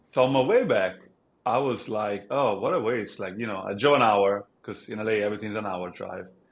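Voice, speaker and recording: Speaking with an Italian accent, a man keeps a fairly quick pace and a fairly low pitch with ordinary pitch variation. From Italy. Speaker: app founder. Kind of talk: podcast interview.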